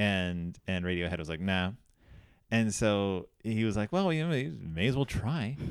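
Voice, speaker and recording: A man with an American accent speaks in a normal speaking voice at a fairly low pitch, with lively intonation at a moderate pace, on a very clean recording with a silent background. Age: 40s. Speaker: podcast host. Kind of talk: casual chat.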